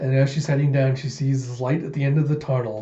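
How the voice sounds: The tone is dark and mellow, with little pitch movement. The pace is fairly quick. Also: man, medium pitch for a man.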